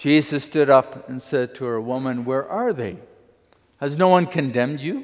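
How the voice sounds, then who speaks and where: Here a man has a normal speaking voice at a fairly high pitch and moderate pace. His pitch variation is ordinary, while his loudness swings widely. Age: 60s. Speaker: pastor. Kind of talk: sermon.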